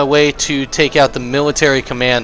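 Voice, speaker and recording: Noticeable background noise beneath a fairly high-pitched male voice. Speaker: gaming video creator. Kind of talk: gameplay commentary. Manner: casual with frequent fillers.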